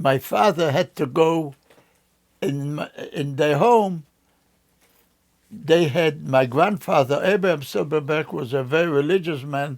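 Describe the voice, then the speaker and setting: Speaking at a fairly slow pace with long, frequent pauses, a man holds a fairly high pitch. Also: ordinary pitch variation. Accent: Polish. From Poland. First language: Polish. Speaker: Holocaust survivor. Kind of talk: oral history interview. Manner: halting.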